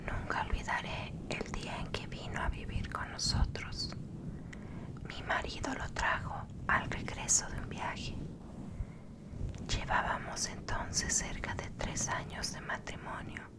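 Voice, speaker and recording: Very slowly, a woman whispers while noticeable background noise plays. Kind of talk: whispered horror story reading. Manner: whispered, soft, slow.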